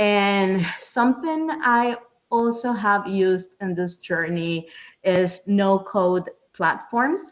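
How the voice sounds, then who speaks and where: In a Spanish accent, a woman speaks at a very slow pace with lively intonation. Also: medium pitch for a woman. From Panama. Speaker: app founder. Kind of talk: podcast interview. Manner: halting, many repeated words.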